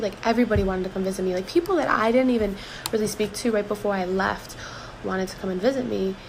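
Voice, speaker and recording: A woman speaks at a very fast pace with a fairly high pitch. Noticeable background noise sits behind her. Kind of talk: casual talk to camera. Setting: break room at work. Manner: whispered.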